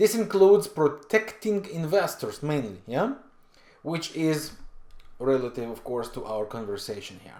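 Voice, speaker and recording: Pitch swings very widely, with a non-native accent. The pace is fairly slow. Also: man. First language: not English. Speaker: forex trading educator. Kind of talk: tutorial. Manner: halting with frequent fillers.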